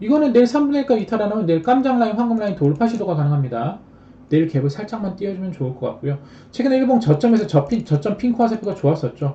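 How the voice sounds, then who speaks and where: At a very fast pace, a man speaks in a high pitch with very wide pitch swings. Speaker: stock trading streamer. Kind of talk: live stream stock chart lecture.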